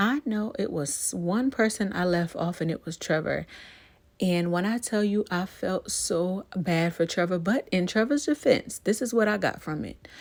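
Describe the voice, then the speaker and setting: A woman with an unremarkable speaking voice, medium pitch and lively intonation at a moderate pace, on a very clean recording with a silent background. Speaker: YouTuber, TV show commentator. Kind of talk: casual vlog commentary. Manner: relaxed, chatty.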